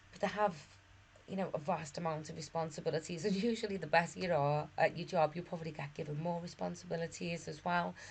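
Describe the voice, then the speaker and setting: Speaking at a very fast pace, a woman with a fairly low pitch keeps a fairly even intonation while her loudness swings widely. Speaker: management course tutor. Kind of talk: lecture. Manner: hesitant, with fillers and repeats.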